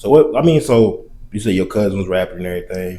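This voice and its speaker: In an Arkansas accent, a man speaks at a fairly quick pace with a fairly low pitch and a dark, mellow tone. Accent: Southern US (Arkansas). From eastern Arkansas, US South. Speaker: podcast host. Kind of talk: casual interview chat.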